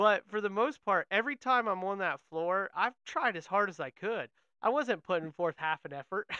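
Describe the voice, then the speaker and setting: A man uses a raised, projected voice with a bright, sharp tone, a high pitch and lively intonation at a moderate pace. The sound is dry and close with no echo, over a quiet background. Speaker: podcast host and auto glass technician. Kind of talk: casual interview chat.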